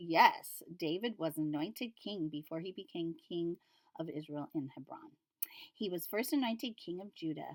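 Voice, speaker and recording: A woman speaks at a moderate pace with a fairly low pitch and lively intonation. Her loudness swings widely, and the sound is dry and close with no echo. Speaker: Bible study video host. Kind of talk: Bible reading and commentary. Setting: at home, dusky evening light. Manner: casual, thinking aloud; mumbling at times.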